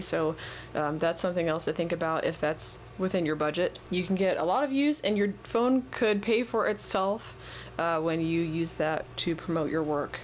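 At a moderate pace, a woman talks in an unremarkable speaking voice. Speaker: colored pencil artist. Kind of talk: video essay-style tutorial advice monologue. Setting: online video with voiceover while showing drawings.

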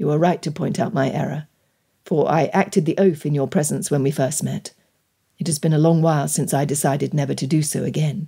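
A woman uses a put-on character voice, low-pitched with a dark, mellow tone, vocal fry and a slightly husky edge. Her intonation is fairly even and her pace fairly quick.

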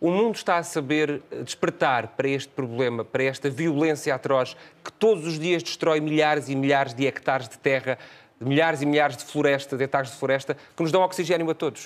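A man with an ordinary speaking voice talks at a fairly quick pace and fairly high pitch, with ordinary pitch variation. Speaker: TV interviewer. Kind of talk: interview.

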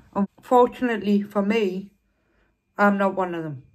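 A woman at a moderate pace, pitch varying in an ordinary way. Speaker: eating vlogger. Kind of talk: casual vlog chat. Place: home room. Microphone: phone near.

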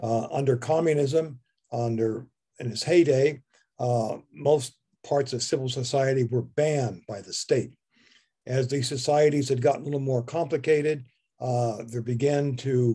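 Against a quiet background, a man speaks at a moderate pace in a dark, mellow, somewhat breathy tone with fairly even intonation. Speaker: presenter. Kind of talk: lecture. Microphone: video call.

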